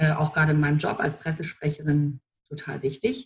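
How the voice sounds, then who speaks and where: A somewhat breathy woman speaks at a moderate pace in a very deep, low pitch with fairly even intonation. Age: 30s. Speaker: political press spokesperson. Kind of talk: interview.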